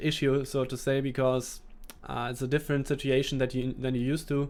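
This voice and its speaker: Recorded very cleanly against a silent background, a man speaks at a moderate pace. He has a German accent and a fairly high pitch. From Germany. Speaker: esports gaming coach. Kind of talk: live gameplay commentary with chat Q&A. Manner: hesitant, with restarts and fillers.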